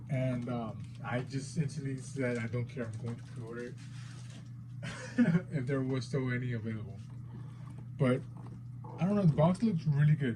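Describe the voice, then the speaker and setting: A man with a non-native accent and medium pitch speaks at a moderate pace, fairly even intonation and long, frequent pauses. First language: not English. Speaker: figure collector YouTuber. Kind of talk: unboxing video. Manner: hesitant, many fillers.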